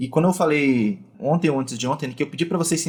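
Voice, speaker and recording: A man talks at a fairly quick pace. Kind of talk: online teaching session. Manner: fast.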